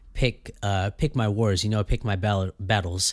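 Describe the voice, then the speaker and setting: A man talks with fairly level intonation, captured in a very clean recording against a silent background. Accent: Californian. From US West Coast (Fresno, California). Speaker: podcast host. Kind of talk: casual solo monologue. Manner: hesitant, many fillers and repeats.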